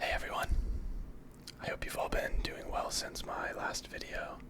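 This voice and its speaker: The voice is whispering. Noticeable background noise runs underneath. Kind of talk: ASMR gameplay commentary, whispered, casual talk to viewers. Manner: whispered, soft.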